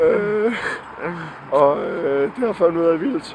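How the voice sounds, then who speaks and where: Noticeable background noise sits under a voice whose pitch swings very widely. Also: man. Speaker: vlogger. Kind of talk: casual chat. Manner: slurred, halting.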